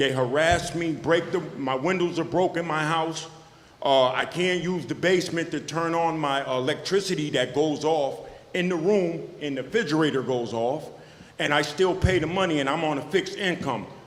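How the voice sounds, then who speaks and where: At a moderate pace, a man talks with an American accent and ordinary pitch variation. The room echo is audible. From Schenectady, New York. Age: 50s. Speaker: tenant speaking at public comment. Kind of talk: public comment at council meeting. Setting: city council meeting. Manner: halting.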